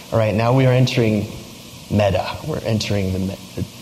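Quietly, a man talks at a moderate pace with a fairly low pitch and ordinary pitch variation. Audible room echo and noticeable background noise surround him. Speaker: youth pastor. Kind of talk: sermon.

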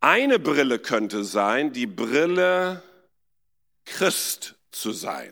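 A man speaks very slowly, with long, frequent pauses and very wide pitch swings. His fairly high voice has a bright, sharp tone on a very clean recording with a silent background. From India. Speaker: pastor, guest preacher. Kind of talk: sermon. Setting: church with live audience.

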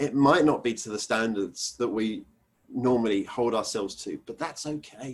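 Someone reads aloud plainly, the pitch rising and falling in an ordinary way.

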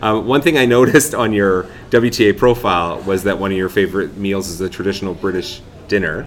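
A man with a Canadian accent speaks at a fairly quick pace, his fairly low pitch showing ordinary variation over noticeable background noise. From Vancouver, Canada. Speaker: tournament media manager and podcast host. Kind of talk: casual interview and podcast narration. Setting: restaurant at a country club.

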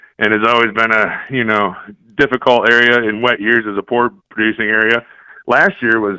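A plain, everyday voice from a man with an American accent, medium in pitch, at a moderate pace with fairly even intonation. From Iowa. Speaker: tile contractor, caller. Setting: phone call.

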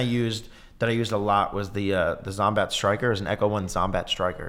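Here a man talks in a plain, everyday voice with ordinary pitch variation. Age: 20s. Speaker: automotive videographer and photographer. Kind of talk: casual chat.

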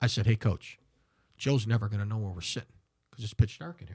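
A man's somewhat breathy voice comes through dry and close with no echo, in a very clean recording with a silent background. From Cleveland, Ohio (Garfield Heights). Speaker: former actor, voiceover actor and model. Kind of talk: casual chat with storytelling.

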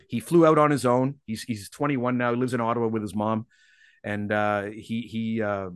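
In a quiet background, a man with a Canadian accent talks at a fairly quick pace, medium in pitch with ordinary pitch variation. He has an unremarkable speaking voice. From Canada. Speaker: sports podcast host. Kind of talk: casual interview.

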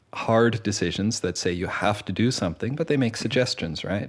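A man with a Canadian accent, fairly quick in pace, with ordinary pitch variation. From Canada. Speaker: composer and music teacher. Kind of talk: interview. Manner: hesitant, many fillers.

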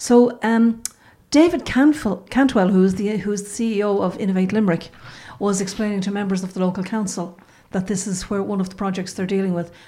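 With an Irish accent, a woman talks fairly quickly at a medium pitch, her somewhat breathy voice dark and mellow in tone, with ordinary pitch variation. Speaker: journalist. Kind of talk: casual chat. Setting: studio.

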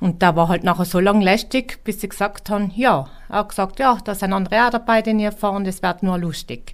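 A woman at medium pitch talks at a moderate pace in an unremarkable speaking voice. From Tyrol, Austria (near Imst). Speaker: mountain hut innkeeper. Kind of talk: interview.

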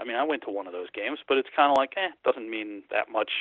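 This is a man speaking. He has a New York accent. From New York area. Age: 50s. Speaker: graphic designer. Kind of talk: casual chat.

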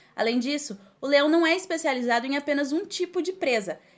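A woman speaks in a high register at a moderate speed. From Brazil, Cianorte, northwest Paraná. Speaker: sports radio co-host. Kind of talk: scripted sports radio show.

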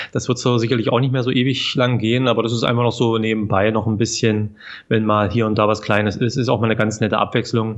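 A man's medium-pitched voice at a very fast pace, monotone and flat, with very even loudness. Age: 40s. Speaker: professional blogger. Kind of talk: interview. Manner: hesitant fillers.

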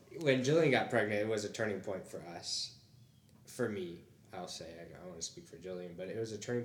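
In audible room echo, a man with a Midwestern US accent speaks at a fairly low pitch with big swings in loudness. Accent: US Midwest. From Toledo, Ohio, US. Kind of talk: casual interview chat.

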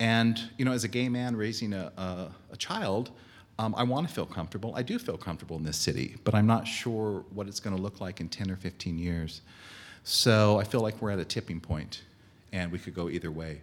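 A plain, everyday voice with an American accent, ordinary pitch variation and a fairly quick pace, on a very clean recording with a silent background. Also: man, fairly low pitch for a man. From Seattle, West Seattle. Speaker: adjunct professor, storyteller. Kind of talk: live storytelling. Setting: stage with audience.

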